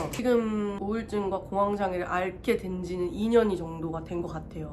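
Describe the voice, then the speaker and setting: With audible room echo and noticeable background noise, a woman speaks at a medium pitch and a moderate pace with ordinary pitch variation. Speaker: vlogger. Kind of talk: personal testimony. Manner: halting.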